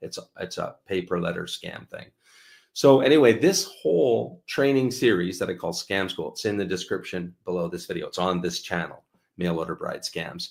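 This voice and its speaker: A man speaks with a Canadian accent at a moderate pace. The recording is very clean, with a silent background. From Canada. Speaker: channel host, dating scam investigator. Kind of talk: live stream chat. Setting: live stream. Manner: hesitant, filler-heavy.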